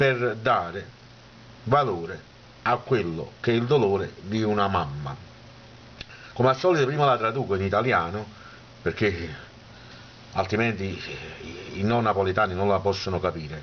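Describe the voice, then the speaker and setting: Long, frequent pauses break up a man's speech at a moderate pace. His pitch is fairly low, and his intonation is lively. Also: very even loudness. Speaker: poet. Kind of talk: casual talk to camera.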